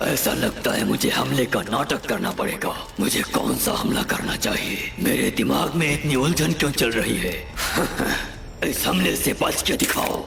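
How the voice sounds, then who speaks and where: A man performs a put-on character voice. Loud background noise and a clear echo fill the recording. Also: moderate pace. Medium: fan dub. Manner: muttering to itself, uncertain.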